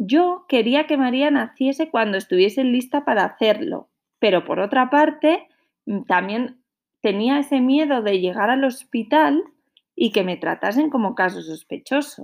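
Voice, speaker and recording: The pace is fairly slow. Intonation rises and falls in a lively way. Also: woman, high pitch for a woman. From northern Spain, Santander. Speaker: podcaster, mother. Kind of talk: personal storytelling.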